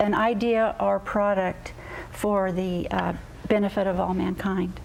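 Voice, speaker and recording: Holding a very even loudness, a woman of medium pitch speaks fairly slowly in a flat monotone. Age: 60s. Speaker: inventor. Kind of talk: TV talk show interview.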